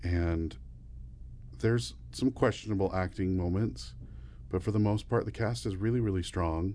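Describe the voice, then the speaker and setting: Very deep and low, a man's somewhat breathy voice has a dark, mellow tone, very wide pitch swings, and a fairly slow pace. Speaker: podcast co-host. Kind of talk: casual chat, ranking horror movies.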